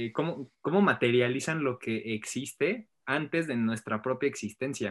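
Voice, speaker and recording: A man at a fairly slow pace with lively intonation, against a quiet background. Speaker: podcast co-host. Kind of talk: casual chat.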